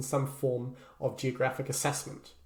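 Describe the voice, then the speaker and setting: Amid audible room echo, a man with a New Zealand accent speaks at a moderate pace in a somewhat breathy voice. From New Zealand, Christchurch. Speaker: human geography lecturer. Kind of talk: lecture. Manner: hesitant, frequent filler words.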